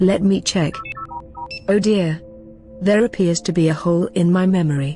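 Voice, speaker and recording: Clear music plays in the background as a female-sounding voice performs a put-on character voice at a medium pitch. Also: moderate pace. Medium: machinima.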